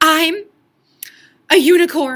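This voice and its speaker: A woman uses a put-on character voice. Her pitch is extremely high. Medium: read story.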